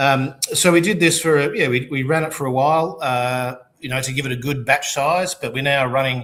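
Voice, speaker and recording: In an Australian accent, the speaker moves at a moderate pace with hardly any pauses and fairly even intonation. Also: man, fairly high pitch for a man. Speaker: distillery founder. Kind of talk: casual chat.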